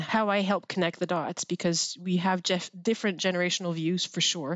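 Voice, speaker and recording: In a French Canadian accent, a woman speaks with a fairly low pitch. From Quebec, Canada. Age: 40s. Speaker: university administrator, former military officer. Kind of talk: interview.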